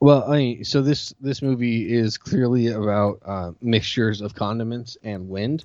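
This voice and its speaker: Using an ordinary speaking voice, a man with an American accent talks at medium pitch and a moderate pace, with ordinary pitch variation and hardly any pauses. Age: 30s. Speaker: podcast host. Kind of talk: casual chat.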